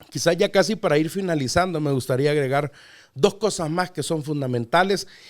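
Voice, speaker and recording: A plain, everyday voice at a moderate pace, in a very clean recording with a silent background. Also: man. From Mexico City, Mexico. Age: 40s. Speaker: pastor. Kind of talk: podcast interview.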